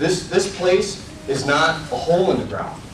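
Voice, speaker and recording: A man speaks at a fairly slow pace. Noticeable background noise and audible room echo surround him. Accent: American. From Illinois. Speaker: resident speaking at public meeting. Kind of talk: public comment at town meeting.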